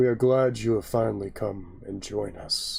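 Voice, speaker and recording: This man puts on a character voice. It sits at a fairly low pitch and moves at a moderate pace. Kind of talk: fantasy epic speech. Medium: actual play. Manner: formal, stately.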